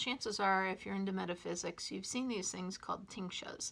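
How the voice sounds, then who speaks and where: A woman speaks at medium pitch and a moderate pace with fairly even intonation. Her tone is bright and sharp, with vocal fry. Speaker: metaphysical shop staff presenting a video series. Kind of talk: casual instructional talk to camera. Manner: casual with many fillers.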